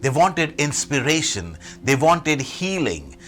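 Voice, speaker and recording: Music plays in the background as a man speaks at a fairly slow pace. His pitch is medium, with very wide pitch swings. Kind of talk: Sunday homily / sermon.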